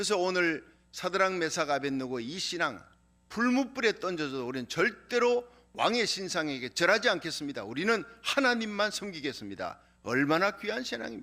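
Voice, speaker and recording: A man with a slight Gyeongsang accent speaks at a high pitch with a bright, sharp tone and very wide pitch swings. His pace is moderate, and the recording is very clean with a silent background. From Korea, Gyeongsang region. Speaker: pastor. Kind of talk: sermon.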